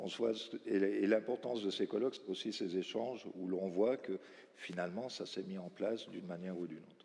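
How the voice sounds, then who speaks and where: Fairly low in pitch, a man speaks at a fairly quick pace in a dark, mellow tone. His loudness swings widely. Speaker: round table moderator. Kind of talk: panel discussion moderation.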